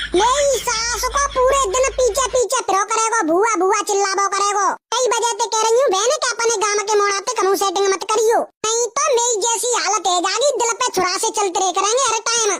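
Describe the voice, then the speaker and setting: A woman speaks in a cartoonish character voice pitched extremely high. Her loudness stays very even, and at a moderate pace she hardly pauses at all. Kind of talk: comic rustic dialect speech. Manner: loud, argumentative, colloquial.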